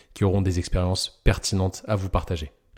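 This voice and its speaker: Recorded very cleanly against a silent background, a man speaks at a fairly low pitch with a dark, mellow tone. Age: 20s. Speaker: podcast host, physiotherapist. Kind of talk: casual interview chat; scripted podcast intro.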